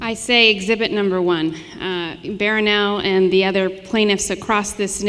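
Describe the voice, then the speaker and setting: A woman talks with lively intonation against noticeable background noise. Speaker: lawyer, legal counsel. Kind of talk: onstage interview answer.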